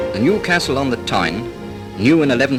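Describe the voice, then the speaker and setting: A man speaks at a medium pitch with lively intonation while music plays in the background. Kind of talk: vintage documentary narration.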